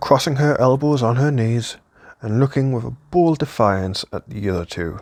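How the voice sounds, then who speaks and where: Lively in intonation, a man talks at a moderate pace and a medium pitch. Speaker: audiobook reader. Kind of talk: classic novel reading.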